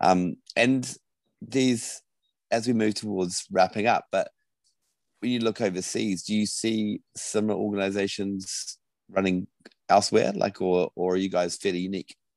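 Speaking at a moderate pace with fairly even intonation, a man leaves long, frequent pauses. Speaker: podcast host. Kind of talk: interview.

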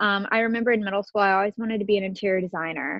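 This woman has an unremarkable speaking voice, pitched at a medium level with ordinary pitch variation. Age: 20s. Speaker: stylist and creative director. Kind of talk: interview.

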